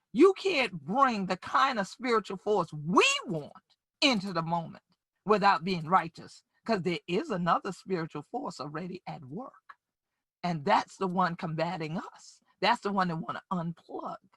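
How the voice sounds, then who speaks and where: A woman in a South Carolina Lowcountry accent, medium-pitched, with lively intonation, big swings in loudness and a fairly slow pace. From Gullah/Geechee Sea Islands, US South coast. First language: Gullah. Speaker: community leader and justice advocate. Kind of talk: keynote speech. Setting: virtual summit. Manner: animated.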